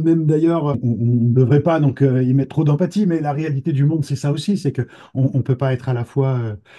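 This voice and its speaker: A man speaks at a fairly quick pace with a medium pitch and ordinary pitch variation. His tone is dark and mellow, and somewhat breathy. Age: 60s. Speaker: trainee therapist giving a testimonial. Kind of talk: interview testimony. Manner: halting, many repetitions and hesitations.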